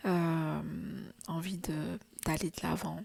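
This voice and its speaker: A soft-spoken woman talks at a very slow pace in a fairly low voice. Her intonation is fairly even. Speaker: tarot reader. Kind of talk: tarot reading. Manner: halting.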